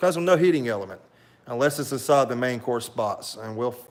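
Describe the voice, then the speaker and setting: With a medium pitch and ordinary pitch variation, a man talks at a fairly quick pace. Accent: strong Southern US. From US South, south Alabama coast. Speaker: YouTuber reviewing military rations. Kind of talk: live stream product review. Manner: casual, many fillers.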